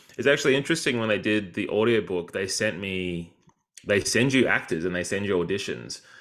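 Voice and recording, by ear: At a fairly quick pace, a man talks in a fairly bright tone. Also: fairly low pitch for a man, lively intonation.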